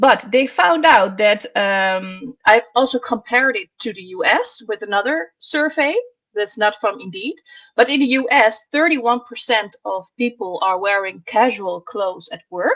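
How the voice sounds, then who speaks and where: A woman with a Dutch accent talks fairly slowly at a fairly high pitch, her intonation lively and her loudness swinging widely. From Netherlands. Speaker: columnist on workwear. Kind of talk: podcast discussion.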